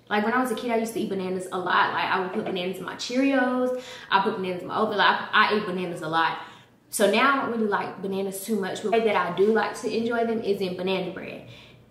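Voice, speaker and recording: Audible room echo surrounds a woman who speaks at a very fast pace. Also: ordinary pitch variation. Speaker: cooking vlogger. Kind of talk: casual vlog chat. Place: kitchen. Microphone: camera far.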